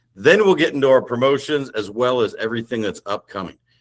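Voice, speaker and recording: A man speaks with an Indiana accent at medium pitch. His tone is animated. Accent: Midwestern (Hoosier). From Indiana, US Midwest. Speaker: sales director. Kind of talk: business presentation. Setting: video call.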